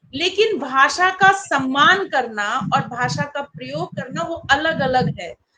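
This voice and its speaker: A woman speaks in a high, raised and projected voice. Her tone is bright and sharp, with very wide pitch swings. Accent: Bihar. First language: Maithili (speaking Hindi). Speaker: English teacher and poet. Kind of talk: panel discussion.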